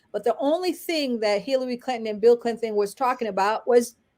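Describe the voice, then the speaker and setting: A woman speaks with a Haitian accent. Her pitch is high. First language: Haitian Creole. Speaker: lawyer and activist. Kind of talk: interview. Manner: halting with frequent fillers and repetitions.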